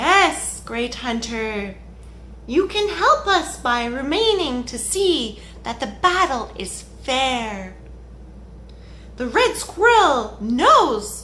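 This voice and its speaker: Someone puts on a character voice, raised and projected, with a fairly high pitch, at a very slow pace over clear background noise. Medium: read story. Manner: calm, knowing.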